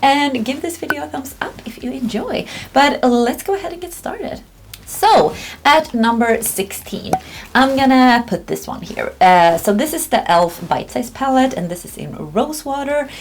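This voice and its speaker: A woman's high voice at a moderate pace, with very wide pitch swings, big swings in loudness, and noticeable background noise. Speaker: beauty vlogger. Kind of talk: casual review vlog. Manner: casual, with many fillers and hesitations.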